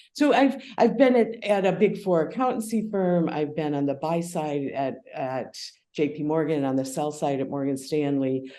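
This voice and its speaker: With a strong American accent, a woman speaks in a very deep, low pitch, her intonation lively and her tone dark and mellow. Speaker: crypto valuation expert. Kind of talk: podcast interview. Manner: hesitant, with repetitions.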